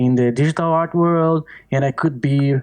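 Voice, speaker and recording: A man speaks with a Portuguese accent. His pitch variation is ordinary. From Brazil, small countryside town. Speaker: artist. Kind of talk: podcast interview. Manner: halting.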